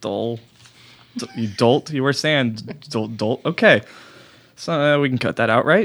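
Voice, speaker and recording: The speaker mumbles at a fairly slow pace, with ordinary pitch variation and long, frequent pauses. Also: man, medium pitch for a man. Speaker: comedy podcast host. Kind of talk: casual comedic chat. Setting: studio. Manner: mumbling.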